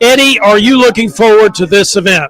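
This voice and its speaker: A man's high voice at a moderate pace, with ordinary pitch variation and noticeable background noise. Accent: American. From US South. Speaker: tournament reporter. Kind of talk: event interview. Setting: tournament dinner at a resort hotel.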